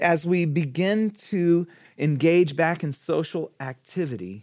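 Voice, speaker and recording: A high-pitched man with an animated tone at a fairly slow pace. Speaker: pastor. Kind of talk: sermon. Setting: church. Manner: loud talker; animated, humorous.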